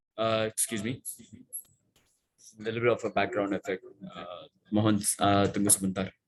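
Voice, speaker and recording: At a moderate pace with long, frequent pauses, a man speaks at a fairly low pitch in a monotone, flat intonation, with a dry, close sound and no echo. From India. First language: not Indonesian (speaking Indonesian). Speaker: sales manager. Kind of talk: technical presentation. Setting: online seminar. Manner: halting, many fillers.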